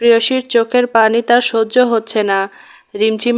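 Reading aloud naturally, the speaker keeps a fairly even intonation.

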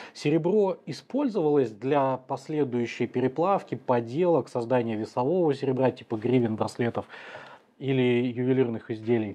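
A man speaks at a moderate pace with ordinary pitch variation. His tone is dark and mellow. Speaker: history channel host. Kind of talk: interview. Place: studio.

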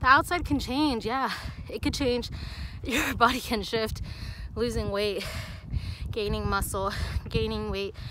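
Over light background noise, a woman speaks at a moderate pace with a dry sound and no echo. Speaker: fitness vlogger. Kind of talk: casual vlog chat. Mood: earnest, encouraging. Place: open country. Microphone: phone near.

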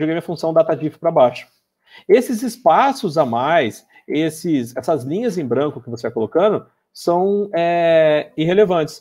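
In a quiet background, a man with a fairly high pitch and a dark, mellow tone speaks at a moderate pace with lively intonation. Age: 30s. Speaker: Excel instructor. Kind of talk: tutorial. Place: home room. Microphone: webcam.

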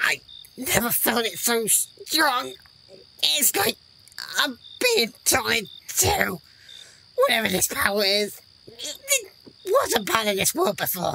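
This is a put-on character voice, raspy and fairly high in pitch. It moves at a fairly slow pace with long, frequent pauses. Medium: audio drama.

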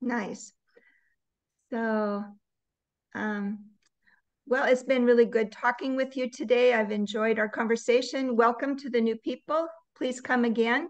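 Over a quiet background, the speaker uses an American accent, talking fairly slowly with fairly even intonation and long, frequent pauses. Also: woman, high pitch for a woman. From United States. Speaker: native English conversation trainer. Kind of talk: casual chat. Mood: warm, encouraging. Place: home room. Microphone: video call.

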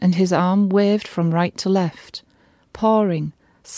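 Plain reading aloud, intonation fairly even throughout.

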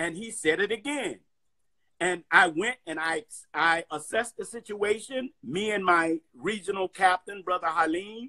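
A man's speech moves at a fairly slow pace, with a quiet background behind it. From US South, Atlanta, Georgia. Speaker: minister and community activist; minister. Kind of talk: interview. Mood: earnest, passionate. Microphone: phone near.

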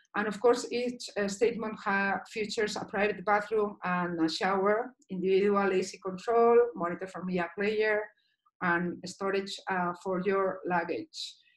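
Speaking with a Basque accent, a woman uses a medium pitch, a fairly slow pace and fairly even intonation. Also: quiet background. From Basque Country, Spain. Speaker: dive instructor and liveaboard cruise director. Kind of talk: online presentation. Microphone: video call.

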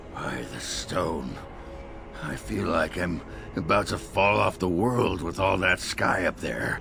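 A man's very deep put-on character voice at a fairly slow pace, over loud background noise. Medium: dub. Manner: gruff.

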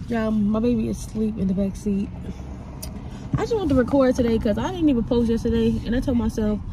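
At a fairly quick pace, the voice comes through dry and without echo, with noticeable background noise behind it. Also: woman. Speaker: vlogger. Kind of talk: casual vlog chat. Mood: relaxed, teasing. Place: car. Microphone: phone near.

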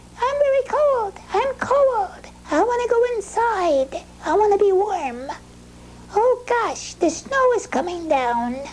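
A put-on character voice at an extremely high pitch moves at a fairly slow pace, with clear background noise behind it.

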